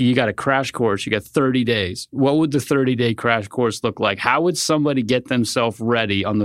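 On a very clean recording with a silent background, a man with an American accent and an unremarkable speaking voice talks at a fairly quick pace in a medium pitch with ordinary pitch variation. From US Northeast. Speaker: podcast host, former painter. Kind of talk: casual interview.

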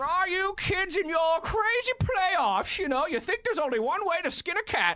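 A put-on character voice, gravelly and extremely high, moves at a moderate pace with hardly any pauses. Light background noise sits behind it. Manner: gravelly villain-like impression.

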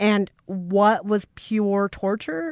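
A woman with an American accent talks in a mid-range pitch. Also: dry, close sound with no echo, very clean recording, silent background. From Minnesota, US Midwest. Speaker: podcast co-host. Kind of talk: casual chat. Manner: loud.

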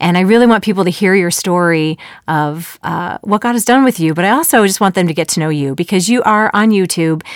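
Talking at a fairly quick pace with an American accent, a woman has an unremarkable speaking voice at medium pitch with ordinary pitch variation. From Chicago suburbs, US Midwest. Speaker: podcast host, former musical theater actor. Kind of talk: interview conversation; scripted intro. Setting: studio.

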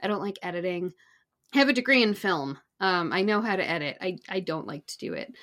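Against a quiet background, a woman with a normal speaking voice talks at a fairly quick pace, her medium pitch carrying lively intonation and big swings in loudness. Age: 40s. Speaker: marketing guest expert. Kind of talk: casual interview.

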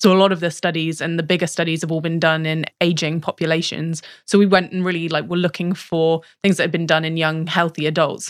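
A woman with a British accent speaks very fast in a fairly low, monotone voice with flat intonation. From Britain. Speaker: research scientist. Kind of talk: casual interview chat.

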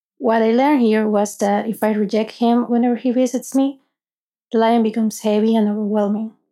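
Flat, monotone intonation in a dark, mellow tone. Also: woman, fairly high pitch for a woman, very even loudness. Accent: Spanish. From Venezuela. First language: Spanish. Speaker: app user sharing a personal story. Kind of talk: personal story narration.

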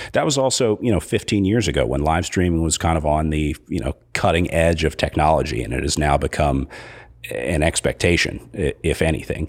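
With an American accent and vocal fry, a man talks at a moderate pace in a very deep, low voice with lively intonation. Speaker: race announcer and live-stream producer. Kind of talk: casual interview. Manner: halting, many fillers.

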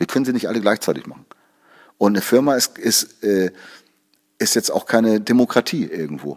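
A man speaks at a fairly quick pace with a medium pitch and lively intonation. Vocal fry creeps into his voice. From Hamburg, northern Germany. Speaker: music producer and composer. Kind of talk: interview. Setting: studio.

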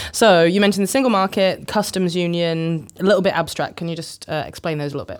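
A woman speaks very fast with hardly any pauses, at a fairly low pitch with ordinary pitch variation. Her loudness swings widely, and the recording is very clean with a silent background. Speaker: podcast host. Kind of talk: podcast interview.

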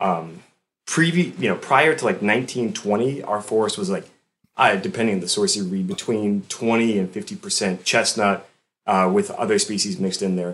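A man's normal speaking voice with an American accent, fairly low in pitch, at a moderate pace with ordinary pitch variation. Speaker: forester. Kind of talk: casual interview.

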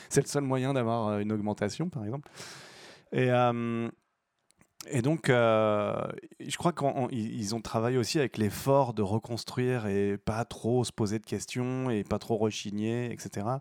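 A man's normal speaking voice at medium pitch and moderate pace, dry and close with no echo. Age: 40s. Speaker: actor and governance consultant. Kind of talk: casual chat.

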